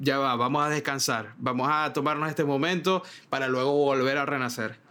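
A man speaks at a fairly high pitch in a bright, sharp tone. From Venezuela. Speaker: podcast host, graphic designer. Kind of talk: casual chat.

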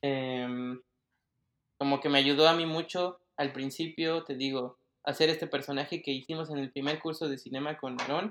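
A man speaks in an ordinary speaking voice at a fairly high pitch and a moderate pace. His intonation stays fairly even, and the background is quiet. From Mexico City. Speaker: 3D designer. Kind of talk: casual interview.

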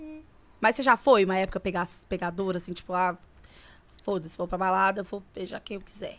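Speaking fairly quickly, a woman uses a medium pitch with ordinary variation and big swings in loudness. Her pauses are long and frequent. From Brazil, Minas Gerais (Governador Valadares). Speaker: podcast host. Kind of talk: casual chat.

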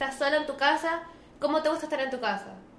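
Amid noticeable background noise and audible room echo, a woman speaks. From Venezuela. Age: 20s. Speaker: model and beauty queen. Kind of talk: casual interview chat.

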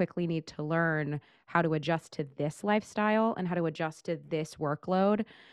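In a dry, close sound with no echo and a quiet background, the speaker uses an American accent at a moderate pace. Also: woman. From Northern California, Central Valley. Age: 30s. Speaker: Broadway actress and singer. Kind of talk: casual interview chat. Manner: animated.

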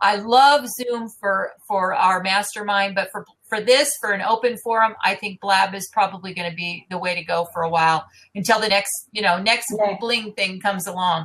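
A woman with a plain, everyday voice at medium pitch and moderate pace. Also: ordinary pitch variation. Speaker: interview host and marketing business founder. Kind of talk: live interview broadcast. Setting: live online video broadcast.

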